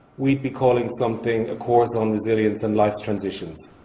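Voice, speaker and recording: With an Irish accent, a man speaks at a moderate pace and a medium pitch, somewhat breathy with a dark, mellow tone, in audible room echo. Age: 60s. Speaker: charity speaker. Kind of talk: conference talk.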